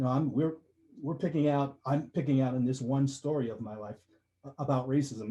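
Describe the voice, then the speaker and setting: Dark and mellow in tone, this man's voice is also somewhat breathy. He moves along at a fairly quick pace. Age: 60s. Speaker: story contributor to an anthology. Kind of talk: testimony. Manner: halting.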